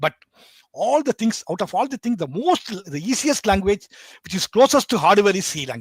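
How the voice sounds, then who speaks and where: A man with a Bengali accent talks at a fairly quick pace with lively intonation. The sound is dry and close, with no echo. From India. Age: 60s. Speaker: embedded systems educator. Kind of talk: podcast interview. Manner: halting.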